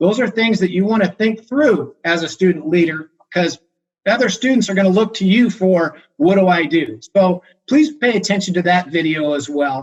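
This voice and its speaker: A man speaks at a high pitch with very even loudness. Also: lively intonation. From Arizona. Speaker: university public safety director. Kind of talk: training presentation. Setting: video call. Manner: fast.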